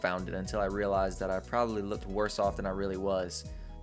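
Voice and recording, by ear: The speaker is reading aloud in a natural voice.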